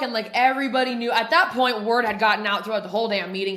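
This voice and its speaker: A woman's fairly high-pitched voice at a fairly quick pace with audible room echo. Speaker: podcast host in addiction recovery. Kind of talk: casual chat, recovery testimony. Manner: loud; animated, heavy swearing slang.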